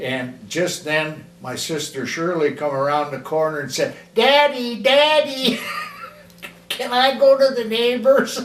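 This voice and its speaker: Very wide pitch swings from a man with an American accent and a high voice, plus audible room echo and noticeable background noise. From US Midwest, Kalamazoo, Michigan. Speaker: grandparent telling life story. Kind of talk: oral history interview. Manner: halting.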